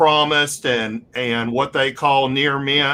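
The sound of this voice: Here the speaker uses an unforced reading voice.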